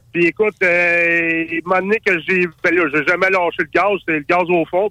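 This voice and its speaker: A man's high-pitched voice at a moderate pace, in a monotone, flat intonation. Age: 40s. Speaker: race car driver. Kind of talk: casual chat. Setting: phone call from his car.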